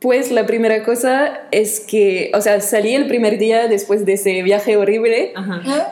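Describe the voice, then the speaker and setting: A woman with a French accent speaks at a fairly slow pace in a fairly high voice, her intonation fairly even and her loudness very even, with hardly any pauses over noticeable background noise. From France. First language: French (speaking Spanish). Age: 20s. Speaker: podcast guest, former volunteer abroad. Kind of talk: casual chat.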